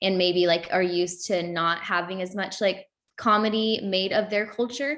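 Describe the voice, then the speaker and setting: Using an unremarkable speaking voice, a woman talks at a moderate pace and medium pitch with ordinary pitch variation. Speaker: youth panelist. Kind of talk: panel discussion.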